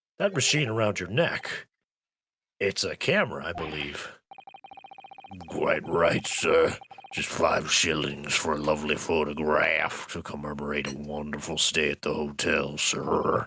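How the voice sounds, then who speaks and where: A man puts on a raspy character voice with a very deep, low pitch. He speaks at a moderate pace. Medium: game stream. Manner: fawning, salesy.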